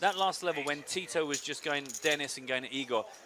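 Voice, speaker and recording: A man talks at a fairly quick pace, his fairly high pitch varying in an ordinary way. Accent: Essex. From England, Essex. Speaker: poker commentator. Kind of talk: live commentary. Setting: small commentary booth.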